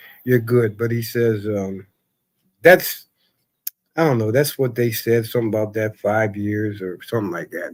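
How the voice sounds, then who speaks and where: At a moderate pace, a man speaks in an ordinary speaking voice of medium pitch. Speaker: live stream chat participant, cancer survivor. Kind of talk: casual chat.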